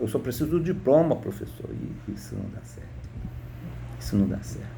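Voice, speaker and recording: Moderate-paced male speech, noticeable noise in the background and audible echo from the room. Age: 60s. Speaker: retired teacher. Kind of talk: political opinion monologue. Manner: halting, repeats words.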